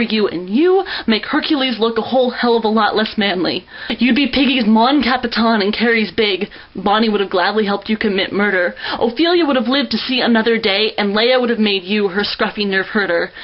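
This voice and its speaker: An American accent at a fairly quick pace, with noticeable background noise. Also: woman, fairly high pitch for a woman, ordinary pitch variation, very even loudness. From United States. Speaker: poet. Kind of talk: spoken word poetry performance.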